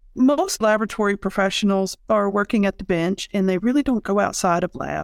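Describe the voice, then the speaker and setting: A woman with an unremarkable speaking voice, an American accent, medium pitch and ordinary pitch variation, in a dry, close sound with no echo. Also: very clean recording, silent background. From rural Kentucky and West Virginia. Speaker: laboratory professional and healthcare researcher. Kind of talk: interview.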